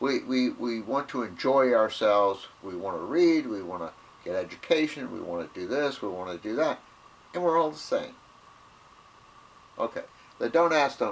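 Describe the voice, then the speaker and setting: With an American accent, a man speaks at a moderate pace in a medium-pitched voice, his pitch swinging very widely, with long, frequent pauses. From US South. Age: 70s. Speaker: video blogger. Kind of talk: casual monologue. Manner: halting, repetitive.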